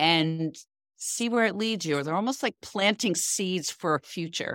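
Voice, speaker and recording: Someone with an ordinary speaking voice talks at a moderate pace with ordinary pitch variation. The very clean recording has a silent background and a dry, close sound with no echo. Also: woman. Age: 60s. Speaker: founder and coach for women in midlife. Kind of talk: interview.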